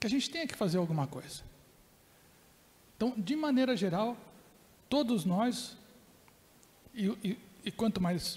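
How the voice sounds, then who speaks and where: Lively intonation marks this man's high voice. He keeps a moderate pace. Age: 60s. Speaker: professor and keynote speaker. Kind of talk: lecture.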